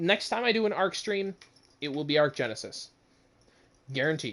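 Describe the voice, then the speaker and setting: The man speaking keeps a moderate pace. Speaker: gaming streamer. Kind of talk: live game stream chat. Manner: rambling, hesitant.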